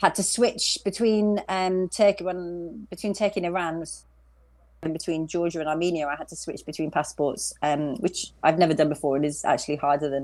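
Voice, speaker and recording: A woman with a West Midlands accent talks at a fairly quick pace in a fairly low pitch. Her loudness swings widely, and the recording is very clean with a silent background. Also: ordinary pitch variation. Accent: British, West Midlands. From England, West Midlands. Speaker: long-distance cyclist. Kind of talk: interview.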